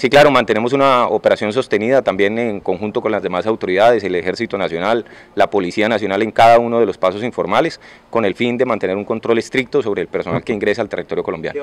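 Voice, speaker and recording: His delivery comes at a very fast pace. The man's pitch shifts in an ordinary way. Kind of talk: press statement. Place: hall. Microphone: handheld.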